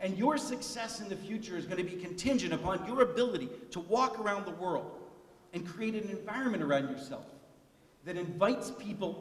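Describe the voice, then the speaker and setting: A man's high-pitched, animated voice at a moderate pace, with audible room echo and noticeable background noise. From US, immigrant family from Italy, steelworker region. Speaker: keynote speaker. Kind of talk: commencement speech. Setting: stage with audience.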